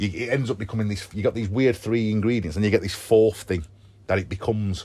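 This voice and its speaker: Delivery is animated and very fast, in a Sheffield accent. Pitch varies in an ordinary way. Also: man. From northern England, Sheffield. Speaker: rock band frontman. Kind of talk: casual interview. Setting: on a tour bus before a gig. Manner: fast, animated.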